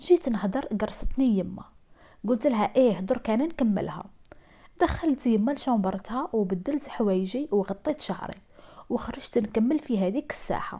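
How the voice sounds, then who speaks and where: In an Algerian accent, a woman with a fairly high pitch and a dark, mellow tone speaks at a fairly slow pace with lively intonation, on a very clean recording with a silent background. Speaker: storyteller. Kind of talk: first-person true-story narration.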